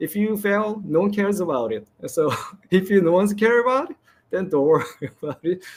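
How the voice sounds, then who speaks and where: A high-pitched man with a non-native accent speaks at a fairly quick pace with lively intonation. The recording is very clean, with a silent background. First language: not English. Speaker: game developer. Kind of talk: presentation Q&A. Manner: halting.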